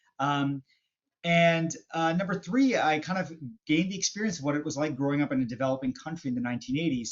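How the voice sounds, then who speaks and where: Speaking at a fairly quick pace, a man with a slight Canadian accent has a fairly high pitch and ordinary pitch variation. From western Canada. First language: Hindi. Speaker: business and marketing expert. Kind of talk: podcast interview. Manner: halting, many fillers.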